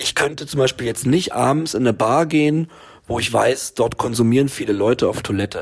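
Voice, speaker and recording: This man has an unremarkable speaking voice, medium in pitch with ordinary pitch variation, and he moves at a fairly quick pace. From Berlin. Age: 40s. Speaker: film director, recovering addict. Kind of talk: interview.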